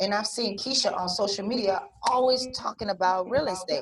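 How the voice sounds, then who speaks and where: Somewhat breathy speech at a moderate pace. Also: woman. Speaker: corporate trainer for real estate agents. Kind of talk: online training class. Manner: casual, lively.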